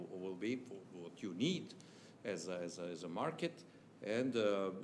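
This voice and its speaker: With a Serbian accent, a man speaks at a moderate pace in a very deep, low pitch, with audible room echo. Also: ordinary pitch variation. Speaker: chamber of commerce official. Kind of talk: formal speech. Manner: halting.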